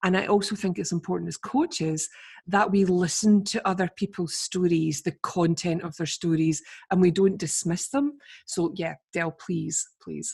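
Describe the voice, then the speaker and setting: In a Scottish accent, a woman speaks at a moderate pace with a fairly low, somewhat breathy voice and ordinary pitch variation. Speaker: podcast host, coach. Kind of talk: interview.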